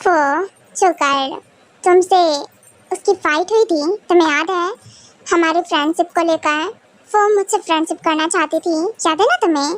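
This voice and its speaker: A woman's put-on character voice at an extremely high pitch, with fairly even intonation, long, frequent pauses, and a dry, close sound with no echo. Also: moderate pace. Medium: fan dub. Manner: warm, playful.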